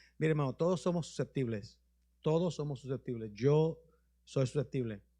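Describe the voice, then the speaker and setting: Against a quiet background, a man with a dark, mellow tone speaks at a moderate pace and medium pitch, with ordinary pitch variation and long, frequent pauses. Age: 60s. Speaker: bishop. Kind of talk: sermon with questions and answers. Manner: informal, conversational.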